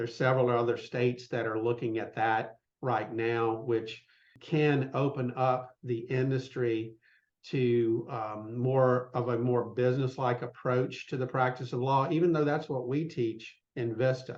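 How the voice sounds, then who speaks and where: In a Southern US accent, a man talks at a fairly slow pace with monotone, flat intonation and medium pitch. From US South, south Mississippi. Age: 60s. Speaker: business consultant for law firms. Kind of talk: podcast interview. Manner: conversational, many fillers.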